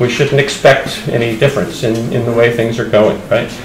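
A man with an American accent speaks at a moderate pace, with audible room echo and light background noise. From United States. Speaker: pastor. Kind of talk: church conference talk. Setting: church camp gathering with audience. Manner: halting. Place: hall. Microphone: podium.

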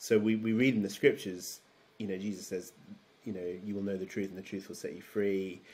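The man's pitch sits fairly low. His intonation is monotone and flat. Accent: southern English. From London, England. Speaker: theology PhD student and former pastor; interview guest. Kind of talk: interview conversation. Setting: video call. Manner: halting, many fillers. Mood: thoughtful, explanatory. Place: home room.

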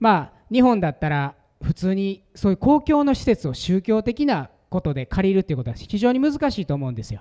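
A man talks at a fairly quick pace with hardly any pauses, his high voice dark and mellow in tone. His pitch swings very widely against a quiet background. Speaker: pastor giving conference talk. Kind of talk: sermon or teaching talk. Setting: stage with audience. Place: meeting room. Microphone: handheld.

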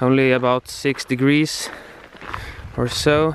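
The recording of a man has a dry sound with no echo and light background noise. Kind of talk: casual vlog chat. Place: open country. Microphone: phone near.

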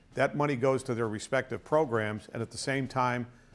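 A man talks with fairly even intonation while faint music sounds in the background. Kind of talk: interview explanation. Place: studio. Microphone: lapel.

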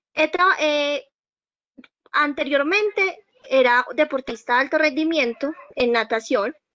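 A woman with a Colombian accent uses a raised, projected voice, high in pitch with lively intonation. She speaks at a fairly slow pace with long, frequent pauses, in dry sound with no echo and a quiet background. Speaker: new university student. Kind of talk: self-introduction. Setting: video call. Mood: earnest, motivated. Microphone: video call.

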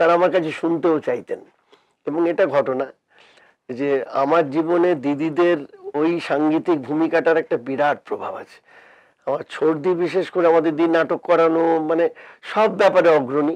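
A high-pitched man's voice with ordinary pitch variation, against a quiet background. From West Bengal. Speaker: music director and choir founder; interviewee. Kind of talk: casual chat. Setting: studio. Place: studio. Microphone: lapel.

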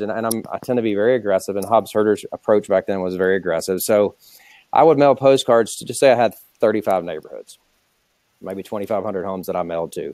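At a fairly quick pace, a man talks in a fairly low pitch with ordinary pitch variation and big swings in loudness, the sound dry with no echo and the background quiet. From US South, Atlanta, Georgia. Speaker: real estate company founder. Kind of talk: interview on webinar. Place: office. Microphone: earbuds.

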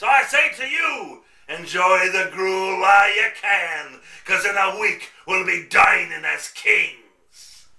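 The voice moves at a fairly slow pace with ordinary pitch variation. There is a slight echo. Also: man, high pitch for a man. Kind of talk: theatrical radio play villain. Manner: pompous, scheming.

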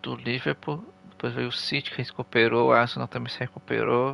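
A man speaks with a Brazilian accent. His pace is moderate. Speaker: gaming streamer. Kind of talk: live gameplay commentary. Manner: animated.

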